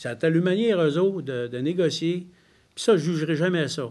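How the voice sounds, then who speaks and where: Fairly quick delivery from a man, ordinary in pitch variation. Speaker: member of parliament. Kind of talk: press conference Q&A. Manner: direct, plain-spoken.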